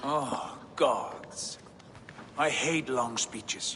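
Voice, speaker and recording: A man's put-on character voice, fairly high in pitch, over clear background noise. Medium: video game. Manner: blunt.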